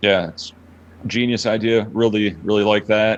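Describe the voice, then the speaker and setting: At a fairly quick pace, a man delivers his words. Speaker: online poker pro. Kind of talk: casual interview chat. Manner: monotone.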